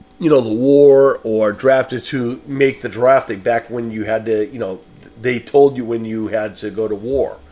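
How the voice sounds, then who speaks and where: With music in the background, a man with a New England accent speaks at a moderate pace and a medium pitch, his intonation fairly even. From New England, Boston. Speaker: podcast host, horror film reviewer. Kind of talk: solo podcast film review. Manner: casual, hesitant with fillers.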